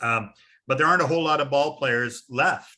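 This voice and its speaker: The man speaking shows ordinary pitch variation. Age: 60s. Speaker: baseball history interviewer. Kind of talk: casual chat. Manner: halting, many fillers.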